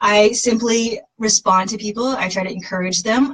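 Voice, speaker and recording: A woman with an American accent speaks at a fairly high pitch. Her tone is animated and somewhat breathy. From Massachusetts, US. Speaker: fitness coach. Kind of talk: casual livestream talk. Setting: Facebook live video. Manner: fast.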